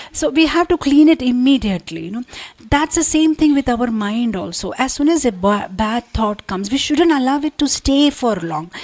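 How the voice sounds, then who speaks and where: A woman's high-pitched voice with very wide pitch swings at a moderate pace, over noticeable background noise. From India (Andhra Pradesh). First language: not English (Indian language). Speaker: spiritual speaker. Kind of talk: religious talk. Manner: conversational, many fillers.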